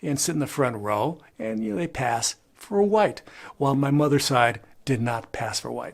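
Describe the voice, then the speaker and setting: A man with a medium pitch keeps a moderate pace and lively intonation. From Chicano Mexican-American, from Crystal City, Texas. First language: bilingual Spanish and English. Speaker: YouTuber and photographer. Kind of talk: casual talk to camera, family history. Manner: conversational, many filler words.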